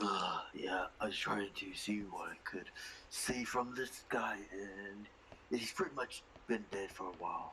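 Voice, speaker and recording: A man puts on a character voice with a fairly low pitch, speaking at a fairly slow pace over clear background noise. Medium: actual play. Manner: casual, conversational.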